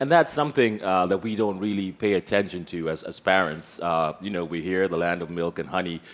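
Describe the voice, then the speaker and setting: A man's very deep, low voice at a fairly quick pace, with hardly any pauses. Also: ordinary pitch variation. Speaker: podcast host. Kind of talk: casual chat. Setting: studio with live audience.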